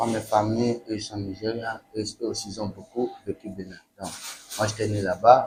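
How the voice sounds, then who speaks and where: A man speaks at a moderate pace in a fairly low pitch, with monotone, flat intonation and big swings in loudness. Noticeable background noise runs underneath. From Benin, Nigerian family. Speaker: musician. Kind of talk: interview. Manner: halting, repetitive phrasing.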